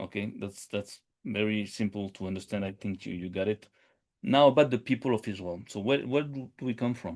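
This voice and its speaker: With a quiet background behind him, a man talks fairly quickly, his pitch varying in an ordinary way. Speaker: podcast host. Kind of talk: live stream monologue. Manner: fast; halting, many fillers and repetitions.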